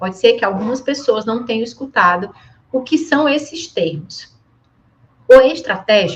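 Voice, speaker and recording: A woman with a high pitch and lively intonation speaks at a fairly slow pace, leaving long, frequent pauses. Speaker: education management consultant and trainer. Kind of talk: training presentation.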